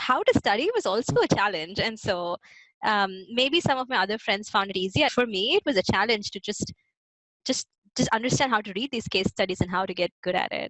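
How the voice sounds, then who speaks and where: Speaking at a fairly quick pace with lively intonation, a woman with a South Indian accent uses a medium pitch, and the sound is dry and close with no echo. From Hyderabad, South India. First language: Telugu. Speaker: immigrant interviewee. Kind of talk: casual interview.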